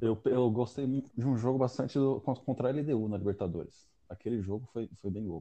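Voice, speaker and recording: A man's medium-pitched voice, a normal speaking voice, at a moderate pace with hardly any pauses and ordinary pitch variation. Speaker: football podcast co-host. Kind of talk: casual chat.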